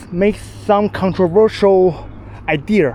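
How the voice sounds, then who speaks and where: A man with a non-native accent speaks in a high pitch and fairly even intonation. Noticeable background noise runs behind him. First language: not English. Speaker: cyclist. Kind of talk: casual talk to camera. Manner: stuttering.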